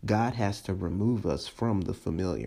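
Using lively intonation, a man speaks at a moderate pace in a dark, mellow tone with vocal fry. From US, moved around a lot. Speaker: pastor. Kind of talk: sermon. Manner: casual, conversational.

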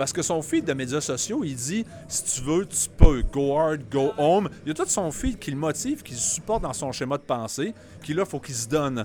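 Speaking with a Quebec accent, a man uses lively intonation, a moderate pace and a fairly high pitch. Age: 40s. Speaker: CrossFit gym owner. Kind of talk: casual panel discussion.

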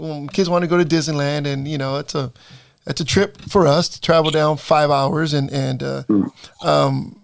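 Delivered at a fairly quick pace with an American accent, this is a plain, everyday voice. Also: man. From Salinas, California. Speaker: podcast host and basketball coach. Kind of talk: interview.

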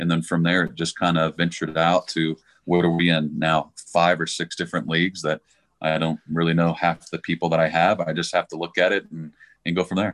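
In an American accent, a man speaks at a fairly quick pace with a very deep, low pitch and monotone, flat intonation. The sound is dry and close with no echo, over a quiet background. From Texas, Dallas. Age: 40s. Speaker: government contractor, fantasy football player. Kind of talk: casual chat.

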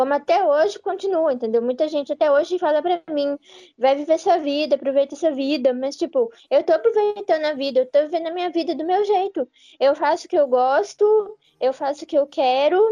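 A woman talks fairly quickly in a high pitch and a dark, mellow tone, the sound dry and close with no echo. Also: ordinary pitch variation. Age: 20s. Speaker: podcast co-host, writer and content creator. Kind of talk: casual chat.

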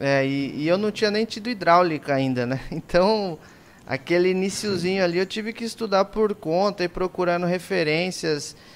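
A man speaks at a high pitch for a man and a moderate pace. His pitch varies in an ordinary way. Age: 20s. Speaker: podcast host, irrigation engineer. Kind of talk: casual chat. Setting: live stream.

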